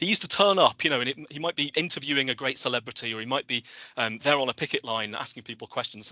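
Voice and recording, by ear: A man's fast, bright, sharp delivery with big pitch swings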